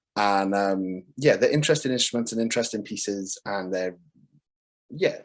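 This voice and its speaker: A man speaks in a Welsh accent at a fairly low pitch. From Wales. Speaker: composer. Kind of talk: casual presentation.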